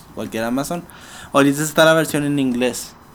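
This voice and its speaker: Ordinary pitch variation runs through an ordinary speaking voice. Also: man. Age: 20s. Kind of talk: casual interview.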